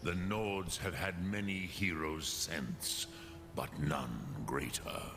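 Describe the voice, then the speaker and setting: A man does a put-on character voice at a very deep, low pitch and a very slow pace. Loud background noise sits behind him. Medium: video game. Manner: slow, solemn, measured, with dragon-tongue words.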